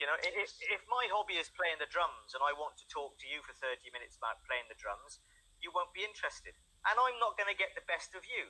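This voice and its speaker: Talking at a very fast pace with big swings in loudness, a man speaks with an English accent. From England. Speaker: English tutor. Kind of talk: online language lesson. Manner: halting, repeats words.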